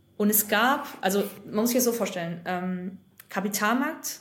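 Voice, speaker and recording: A woman's somewhat breathy voice comes through with audible room echo. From western Germany, North Rhine-Westphalia. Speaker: former investment banker and consultancy founder. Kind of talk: casual interview.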